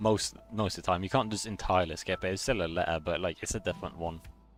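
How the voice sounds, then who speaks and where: A man's very deep, low voice at a very fast pace, ordinary pitch variation, and music in the background. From Norway. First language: Norwegian. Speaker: video game streamer. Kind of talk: live gameplay stream chat. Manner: casual, hesitant with repetitions.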